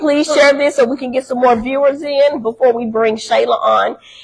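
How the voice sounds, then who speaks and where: The voice is loud, with fairly even intonation at a moderate pace. Noticeable background noise is present. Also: woman. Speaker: talk show co-host. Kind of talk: live-streamed talk show. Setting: live stream, unusual room setup. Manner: country-sounding speech.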